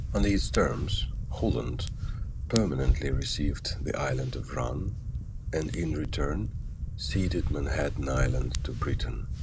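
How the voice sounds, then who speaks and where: Over noticeable background noise, a man with a very deep, low pitch speaks in a calm tone at a fairly slow pace. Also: ordinary pitch variation. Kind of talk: sleep story history narration.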